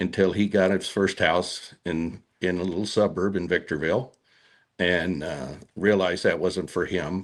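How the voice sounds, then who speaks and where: Very deep and low, a man's voice with an American accent moves at a moderate pace with fairly even intonation. The recording is very clean, with a silent background. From Southern California, Mojave Desert. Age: 60s. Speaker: cattleman and horseman. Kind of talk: interview storytelling.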